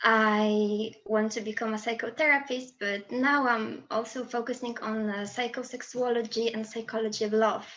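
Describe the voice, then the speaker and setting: Her flat, monotone intonation stays fairly high in pitch as the woman speaks with hardly any pauses. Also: moderate pace. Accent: Polish. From Poland. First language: Polish. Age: 20s. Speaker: student and presentation speaker. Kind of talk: presentation.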